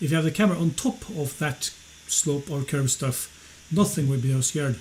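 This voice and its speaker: Against noticeable background noise, the speaker talks at a fairly quick pace with a Norwegian accent and ordinary pitch variation. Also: man. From Norway. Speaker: flat earth debunker, channel owner. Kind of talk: heated debate. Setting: live stream call.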